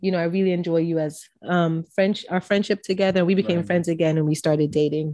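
A woman speaks very fast at a fairly low pitch. Her tone is dark and mellow, and her intonation fairly even. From Jamaica. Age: 20s. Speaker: podcast guest, wife. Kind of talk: casual chat.

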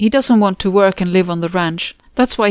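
The voice is reading aloud in a natural voice. Its pitch shifts in an ordinary way.

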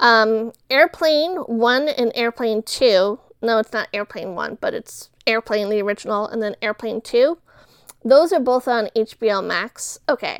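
A woman's fairly high-pitched, a plain, everyday voice, at a fairly slow pace with ordinary pitch variation, in a dry, close sound with no echo. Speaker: podcast host. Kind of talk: casual solo podcast chat about entertainment. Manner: casual, chatty.

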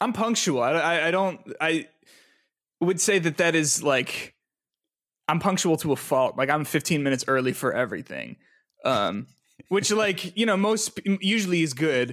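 A man talks at a high pitch with lively intonation. His loudness stays very even, broken by long, frequent pauses. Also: moderate pace. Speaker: musician and game developer. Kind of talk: casual interview chat. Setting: video call.

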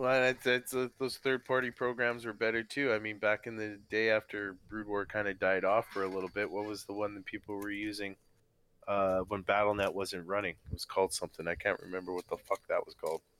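Fairly low in pitch but bright and sharp in tone, a man talks at a fairly quick pace with fairly even intonation on a very clean recording with a silent background. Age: 40s. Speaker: StarCraft player. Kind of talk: casual chat. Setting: live stream.

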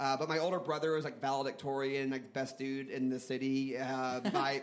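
With an American accent, a man speaks at medium pitch with fairly even intonation, and audible room echo fills the recording. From US South, New Orleans. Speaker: comedy theater founder and improviser. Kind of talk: live comedy podcast storytelling. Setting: stage with audience.

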